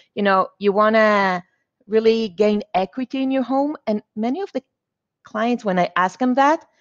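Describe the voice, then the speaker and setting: A woman's fairly high voice at a moderate pace with ordinary pitch variation, dry and close with no echo, over a quiet background. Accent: non-native. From Israel (born in Argentina). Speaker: mortgage loan officer and realtor. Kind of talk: interview.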